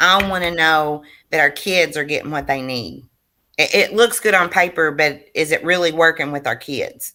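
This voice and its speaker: In a very clean recording with a silent background, a woman speaks loudly with an animated, bright, sharp tone and a fairly low pitch. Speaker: school board member. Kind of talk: board meeting discussion.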